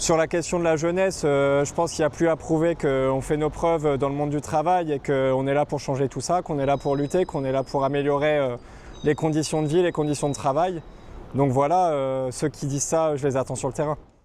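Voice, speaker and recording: Fairly even intonation runs through a man's a plain, everyday voice. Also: fairly high pitch for a man, fairly quick pace. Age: 20s. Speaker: trade unionist. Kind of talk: interview.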